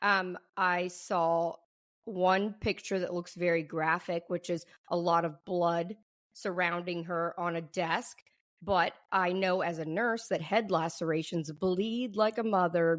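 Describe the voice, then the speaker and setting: A woman with a fairly low voice speaks at a very slow pace and with fairly even intonation. The recording is very clean, with a silent background. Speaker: nurse, podcast host. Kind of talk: casual podcast talk.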